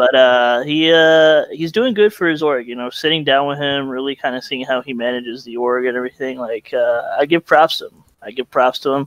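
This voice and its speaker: Here a man with an unremarkable speaking voice and fairly high pitch shows ordinary pitch variation and big swings in loudness. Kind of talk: casual chat. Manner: laughs often.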